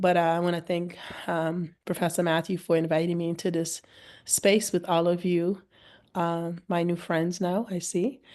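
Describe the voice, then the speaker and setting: Against a quiet background, a woman speaks at a moderate pace and fairly low pitch with monotone, flat intonation. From Cape Verde. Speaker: political science professor. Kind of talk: webinar introduction.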